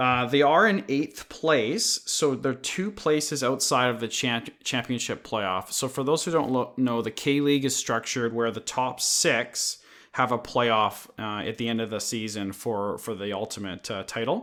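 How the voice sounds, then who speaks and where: A man with a plain, everyday voice speaks at a fairly slow pace with hardly any pauses. His pitch is medium, with ordinary pitch variation. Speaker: podcast co-host. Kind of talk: casual chat. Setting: remote call.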